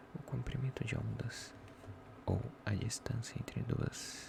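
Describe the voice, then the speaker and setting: Over music in the background, a man whispers at a very slow pace. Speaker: ASMR content creator. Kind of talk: ASMR soft-voice book reading. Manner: soft-spoken, relaxing, not whispered.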